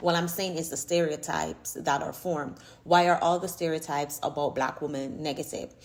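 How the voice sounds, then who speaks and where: A woman with a Jamaican accent speaks fairly quickly in an animated tone at a very deep, low pitch. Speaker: YouTuber, social commentator. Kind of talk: casual vlog commentary.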